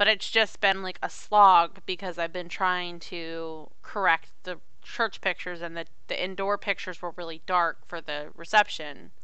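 A woman speaks at a moderate pace with hardly any pauses, in a bright, sharp tone at a fairly low pitch and with monotone, flat intonation. Her loudness swings widely, and the room echo is audible. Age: 30s. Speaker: podcast co-host. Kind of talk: casual chat.

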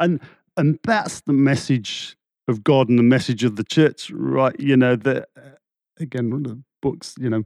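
Fairly even intonation marks this man's speech, delivered with an English accent. The sound is dry and close with no echo, over a quiet background. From England. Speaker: churchgoer sharing faith story. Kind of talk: casual interview. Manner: halting.

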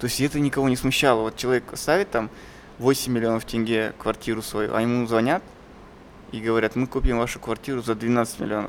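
Using a plain, everyday voice, a man talks at a fairly quick pace with fairly even intonation. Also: medium pitch for a man. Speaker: podcast host, filmmaker. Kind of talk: casual chat.

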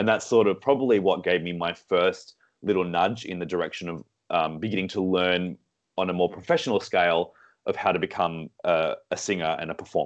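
A man with an Australian accent talks at a fairly quick pace in a very deep, low voice. His intonation is fairly even, and the background is quiet. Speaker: singer and vocal director. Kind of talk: casual interview. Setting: remote call.

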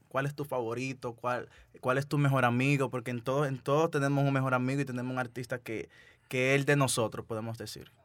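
A man with a Dominican accent speaks at a very fast pace in a flat monotone at medium pitch. The recording is very clean, with a silent background. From Dominican Republic. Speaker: podcast host. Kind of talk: casual interview.

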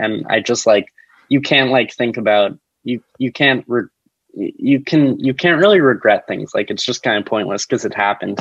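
A man with an American accent speaks in a normal speaking voice at medium pitch and a moderate pace, the sound dry and close with no echo. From New Jersey, US. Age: 20s. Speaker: actor and comedian. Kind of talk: casual chat. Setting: video call.

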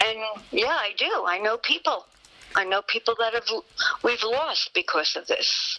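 With an American accent and a fairly high pitch, a woman talks at a fairly slow pace with lively intonation and long, frequent pauses, in a dry, close sound with no echo and noticeable background noise. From Yonkers, New York. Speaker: nurse practitioner. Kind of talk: interview. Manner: halting.

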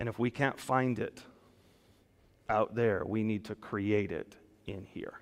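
A man's voice with fairly even intonation. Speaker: pastor. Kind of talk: sermon. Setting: church; PA system with online stream. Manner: loud, projecting.

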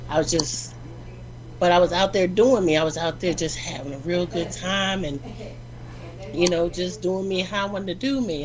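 Moderate pace against noticeable background noise. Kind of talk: casual chat. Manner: animated.

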